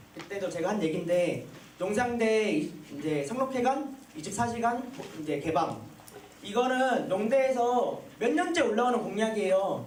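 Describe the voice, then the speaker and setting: Over noticeable background noise and audible room echo, a man with a high pitch talks at a moderate pace with lively intonation. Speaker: student council candidate. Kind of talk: campaign speech.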